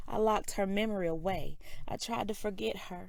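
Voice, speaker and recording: A woman's quiet, medium-pitched voice with vocal fry, fairly slow and marked by very wide pitch swings. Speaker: spoken word poet. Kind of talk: spoken word poetry reading.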